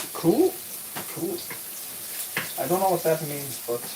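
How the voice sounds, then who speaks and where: Here a man speaks with a high pitch. There is noticeable background noise. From Denmark. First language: Danish. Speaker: streamer and gaming coach. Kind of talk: live stream chat. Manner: halting.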